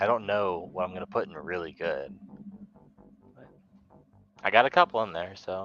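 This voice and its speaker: A man with a fairly low pitch speaks at a moderate pace, with ordinary pitch variation and big swings in loudness. Long pauses come often, and music plays in the background. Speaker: kaiju movie streamer. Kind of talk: live stream casual chat.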